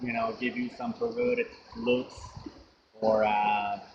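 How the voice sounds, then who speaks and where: A man with a Finnish accent speaks very slowly at a medium pitch in a monotone, flat manner. Music plays in the background. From Finland. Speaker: vlogger. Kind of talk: casual monologue. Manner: hesitant, many fillers.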